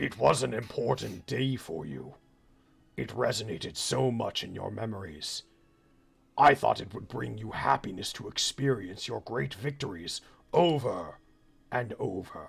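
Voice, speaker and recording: At a moderate pace, a man uses a raspy, put-on character voice at a medium pitch. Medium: actual play. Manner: soft, coaxing.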